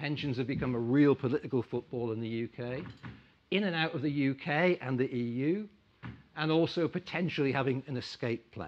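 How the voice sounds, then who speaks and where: A man with an ordinary speaking voice talks at a fairly quick pace, with a medium pitch and ordinary pitch variation. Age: 60s. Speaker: investment club chairman. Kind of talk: conference talk.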